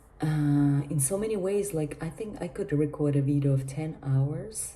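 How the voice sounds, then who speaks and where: A woman with a very deep, low pitch speaks quietly at a moderate pace. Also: ordinary pitch variation. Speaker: vlogger. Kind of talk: casual monologue vlog. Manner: speaking quietly; halting.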